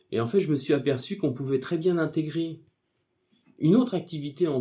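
A man with a fairly high pitch and a dark, mellow, somewhat breathy tone talks at a moderate pace with ordinary pitch variation on a very clean recording with a silent background. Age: 40s. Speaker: office employee and part-time hypnotherapist. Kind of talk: interview. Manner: hesitant, many fillers.

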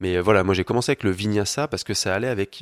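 An unremarkable speaking voice with fairly even intonation, in a very clean recording with a silent background and a dry, close sound with no echo. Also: man. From France, Paris. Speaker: yoga teacher. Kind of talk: casual interview.

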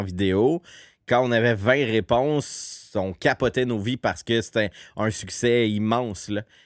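With a Quebec accent, a man speaks at a medium pitch in a dry, close sound with no echo. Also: very clean recording, silent background. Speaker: podcast host, community organization director. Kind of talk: casual chat.

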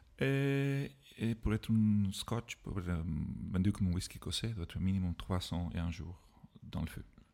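A man with a non-native accent speaks at a fairly low pitch, with ordinary pitch variation. His tone is dark and mellow, and his pace is fairly slow. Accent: foreign accent in French. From Ireland. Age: 40s. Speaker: whisky expert. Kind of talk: casual chat. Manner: halting.

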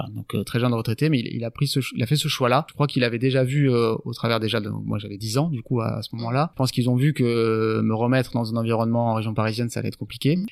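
At a very fast pace with hardly any pauses, a man talks at a medium pitch. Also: fairly even intonation. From France, Landes. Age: 30s. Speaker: business owner and former pro surfer. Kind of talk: interview. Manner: halting.

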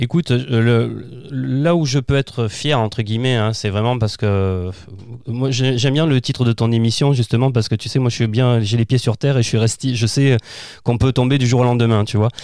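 This man has a medium-pitched voice with a dark, mellow tone, a moderate pace, fairly even intonation and very even loudness. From southern France, Provence (Arles area). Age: 40s. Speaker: children's author and performer. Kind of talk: casual interview. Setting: remote recording from his own studio.

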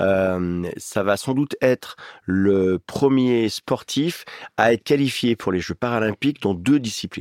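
A man speaks in a normal speaking voice at a fairly slow pace with ordinary pitch variation. The very clean recording has a silent background and a dry, close sound with no echo. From eastern France, Ain (Oyonnax). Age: 50s. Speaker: radio host and stadium announcer. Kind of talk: casual chat.

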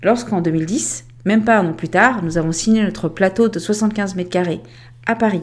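Lively in its intonation and moderate in speed, this is an ordinary speaking voice. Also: woman, medium pitch for a woman. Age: 40s. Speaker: podcast host, remote work consultant. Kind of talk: scripted monologue.

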